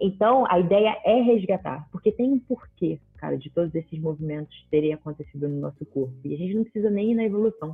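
An ordinary speaking voice from a woman, fairly low in pitch, with lively intonation, a fairly quick pace and hardly any pauses. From Rio de Janeiro, Brazil. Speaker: physical education professional. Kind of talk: casual chat.

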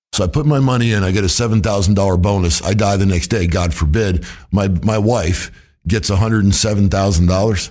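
A man talks at a fairly quick pace, fairly low in pitch with ordinary pitch variation. His loudness stays very even, and audible room echo is present. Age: 50s. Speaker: financial advisor and podcast host. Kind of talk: casual interview.

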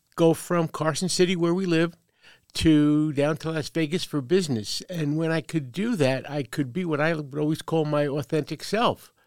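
A woman with a New York accent speaks at a very deep, low pitch with ordinary pitch variation. The recording is very clean, with a silent background and a dry, close sound with no echo. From US Northeast, Brooklyn, New York. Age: 70s. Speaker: veteran and transgender advocate. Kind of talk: interview. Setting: makeshift studio.

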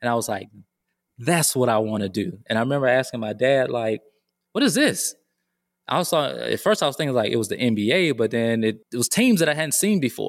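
On a very clean recording with a silent background, a man with an American accent speaks fairly quickly with an ordinary speaking voice and lively intonation. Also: medium pitch for a man. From US South, Georgia. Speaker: school counselor. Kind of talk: casual chat.

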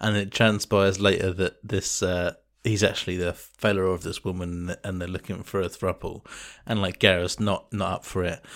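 In an English accent, a man speaks at a moderate pace in a very deep, low pitch. His intonation is monotone and flat, on a very clean recording with a silent background. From England. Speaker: podcast co-host. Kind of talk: casual chat.

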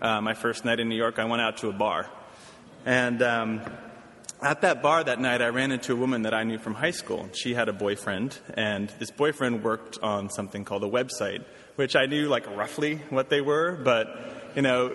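At a moderate pace, a man with an American accent speaks at medium pitch with ordinary pitch variation. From US, Washington D.C. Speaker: nonprofit director. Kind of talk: lecture. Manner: halting.

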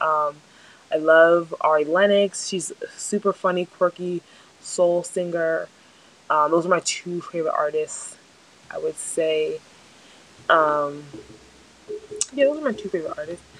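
With an American accent, a woman speaks fairly slowly at a fairly low pitch with ordinary pitch variation and long, frequent pauses over noticeable background noise. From New Jersey. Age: 20s. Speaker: podcast host. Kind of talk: casual monologue. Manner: frequent filler ums.

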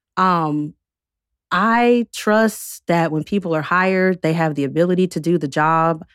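A woman at a fairly slow pace with ordinary pitch variation, dry and close with no echo, in a very clean recording with a silent background. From US South, North Carolina. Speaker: guest sharing career experiences. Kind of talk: interview, casual conversation; reading aloud a personal statement.

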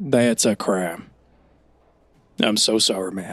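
Using a put-on character voice, a man speaks raspy and fairly low in pitch, with ordinary pitch variation at a fairly slow pace. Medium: actual play. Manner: casual, laid-back, filler-heavy.

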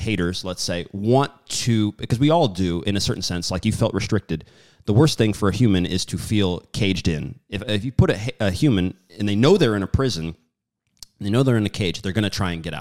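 An ordinary speaking voice moves at a fairly quick pace with lively intonation. The recording is very clean, with a silent background. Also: man. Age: 30s. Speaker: podcast host. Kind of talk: casual interview.

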